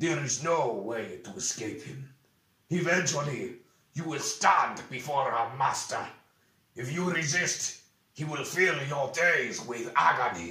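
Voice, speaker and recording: A man growls in a put-on character voice at a fairly high pitch. He speaks at a fairly slow pace with a slight echo. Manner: growling, threatening.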